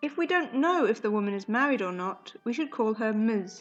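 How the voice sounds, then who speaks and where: A woman with a British accent, fairly high pitch and lively intonation, at a moderate pace over music in the background. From UK. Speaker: English teacher. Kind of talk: educational podcast. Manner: fairly normal pace.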